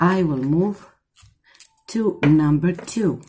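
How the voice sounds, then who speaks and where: Against light background noise, someone with a Greek accent speaks at a very slow pace with ordinary pitch variation. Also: woman. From Greece. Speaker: tarot reader. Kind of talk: tarot reading to camera. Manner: warm, affectionate. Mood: warm, soothing. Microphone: phone near.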